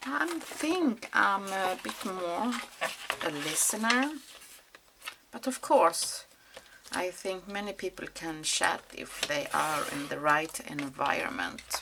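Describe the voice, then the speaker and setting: Speaking at a very slow pace with a non-native accent, a woman of medium pitch makes very wide pitch swings and leaves long, frequent pauses over noticeable background noise. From Sweden. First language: Swedish. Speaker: mixed media crafter. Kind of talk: craft tutorial. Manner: halting, many fillers.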